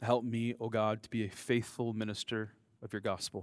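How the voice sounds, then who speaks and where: A man with an American accent speaks at a moderate pace and medium pitch, monotone and flat. The recording is very clean, with a silent background. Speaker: preacher. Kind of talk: sermon. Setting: church with congregation.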